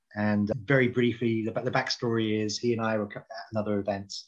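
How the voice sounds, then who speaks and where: A man with a British accent, fairly low in pitch, very fast, and monotone and flat in intonation. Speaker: HR publication editor and event co-founder. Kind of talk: podcast interview.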